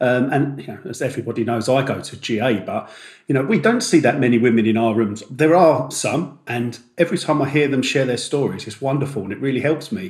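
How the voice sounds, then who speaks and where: Somewhat breathy and medium in pitch, a man talks at a fairly quick pace with hardly any pauses, lively intonation and big swings in loudness. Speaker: podcast co-host. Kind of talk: podcast discussion.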